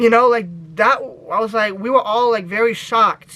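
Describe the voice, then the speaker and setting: A man's raised, projected, high-pitched voice in an American accent, animated in tone, bright and sharp, at a fairly quick pace. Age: 20s. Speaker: YouTuber. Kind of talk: casual vlog storytelling.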